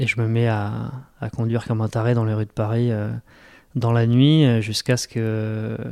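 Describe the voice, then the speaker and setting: This man has a dark, mellow tone at a medium pitch, speaking at a moderate pace in a flat monotone over a very clean recording with a silent background. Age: 40s. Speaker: web entrepreneur and ultra-trail runner. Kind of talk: personal testimony in an interview. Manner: hesitant, many repetitions and fillers.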